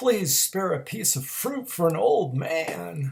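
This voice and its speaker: Using a put-on character voice, a man with a high pitch speaks at a fairly slow pace with very wide pitch swings. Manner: pleading.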